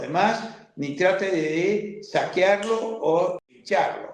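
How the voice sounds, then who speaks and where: With an Argentine accent and a high pitch, a man speaks amid audible room echo. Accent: Rioplatense Argentine Spanish. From Argentina, Buenos Aires. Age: 70s. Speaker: liberal thinker and activist. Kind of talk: interview conversation.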